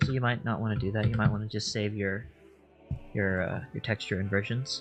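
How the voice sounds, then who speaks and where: A soft-spoken man mumbles at a fairly quick pace, with music playing in the background. His pitch is medium and varies an ordinary amount. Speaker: 3D artist streamer. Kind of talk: tutorial. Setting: live stream. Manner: mumbling. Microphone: too quiet.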